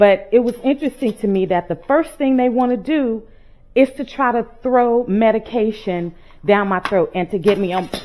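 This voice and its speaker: A woman speaks in an American accent at a moderate pace, her pitch fairly high and her tone dark and mellow. Her pitch varies in an ordinary way. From Texas. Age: 50s. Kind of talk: casual chat while cooking. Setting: home kitchen.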